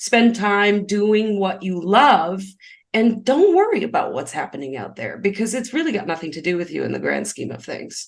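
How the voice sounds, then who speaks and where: Loud and animated, a woman speaks at a medium pitch with vocal fry. Her intonation is lively, and her pace is moderate. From grew up on a farm. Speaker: spiritual business coach and numerologist. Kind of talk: podcast interview.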